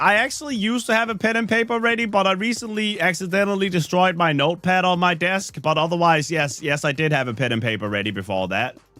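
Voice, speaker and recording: A man talks at a fairly quick pace in a high pitch that swings very widely. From Denmark. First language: Danish. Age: 30s. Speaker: gaming streamer. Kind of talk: casual live-stream chat. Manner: casual, joking.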